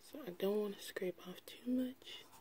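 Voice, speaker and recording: At a very slow pace, the voice comes through dark and mellow in tone and somewhat breathy. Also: woman. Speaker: beauty vlogger. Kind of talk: makeup tutorial.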